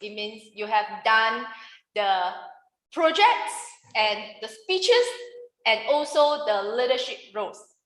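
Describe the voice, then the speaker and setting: A woman speaks at a fairly slow pace, her pitch fairly high and her intonation lively. Her tone is bright and sharp, and the room echo is audible. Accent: Mandarin. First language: Mandarin. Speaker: public speaking trainer. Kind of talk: workshop lecture. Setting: room with live audience, no microphone. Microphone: no microphone used.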